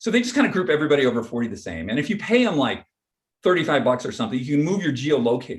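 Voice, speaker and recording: Vocal fry in a man's speech, along with very wide swings in pitch. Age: 60s. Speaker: photographer and researcher on aging. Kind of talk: panel interview. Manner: casual, with many fillers and restarts.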